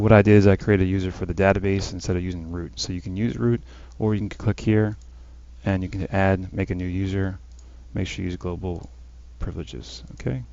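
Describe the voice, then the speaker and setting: Speech comes at a very fast pace. Pitch variation is ordinary. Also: man. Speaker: gaming tutorial youtuber. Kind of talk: tutorial. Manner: casual, filler words.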